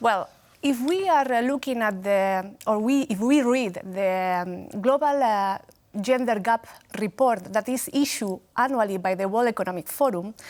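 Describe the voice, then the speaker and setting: A woman speaks with a Spanish accent. Her pitch variation is ordinary. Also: fairly high pitch for a woman, moderate pace, very clean recording, silent background. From Spain. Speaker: gender equality expert. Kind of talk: TV interview. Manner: hesitant, many fillers.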